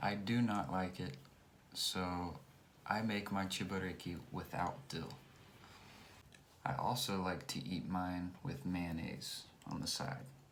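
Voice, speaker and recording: A very deep, low male voice with an American accent and lively intonation, at a very slow pace with long, frequent pauses and audible room echo. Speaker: English teacher. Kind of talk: tutorial. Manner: clear.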